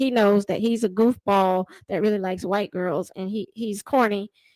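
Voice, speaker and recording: A woman with an American accent has an unremarkable speaking voice at medium pitch with ordinary pitch variation, recorded very clean, dry and close with no echo against a silent background. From US South. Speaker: commentary streamer reacting to a dating show. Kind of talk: live reaction commentary. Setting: YouTube livestream.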